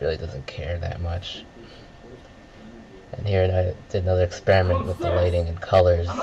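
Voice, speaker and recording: Mumbling from a man with a very deep, low voice and monotone, flat intonation, at a moderate pace with long, frequent pauses and music in the background. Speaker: filmmaker. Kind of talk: director's audio commentary.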